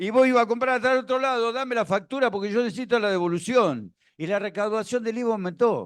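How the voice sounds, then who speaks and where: Against a quiet background, a high-pitched man talks at a very fast pace with ordinary pitch variation. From Argentina, La Plata. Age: 60s. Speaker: former tax official speaking at a seminar. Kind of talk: seminar talk with anecdotes.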